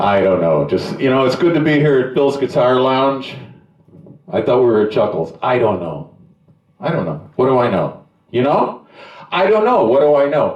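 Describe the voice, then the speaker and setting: A man's medium-pitched voice at a moderate pace, with very wide pitch swings and audible room echo. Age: 70s. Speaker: stand-up comedian. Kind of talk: stand-up. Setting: stage with nearly empty room. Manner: halting.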